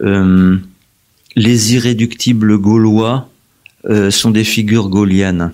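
Very slowly, a man speaks at a fairly low pitch in a monotone, flat delivery. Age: 70s. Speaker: historian. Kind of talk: interview. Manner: halting.

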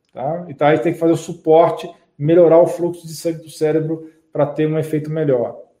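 A man talks at a very fast pace in a fairly high pitch with a dark, mellow tone. His intonation is monotone and flat, yet his loudness swings widely. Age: 40s. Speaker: medical doctor. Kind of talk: live stream health talk with viewer Q&A. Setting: live broadcast on YouTube and Facebook. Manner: conversational, frequent tag 'tá?'.

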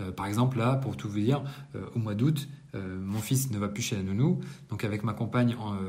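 Amid audible room echo and noticeable background noise, a man with a fairly low pitch speaks at a moderate pace with ordinary pitch variation. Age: 30s. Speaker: entrepreneur vlogger. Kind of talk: monthly business debrief monologue. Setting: apartment under renovation. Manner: casual, hesitant with many fillers. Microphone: no usual microphone, poorer sound.

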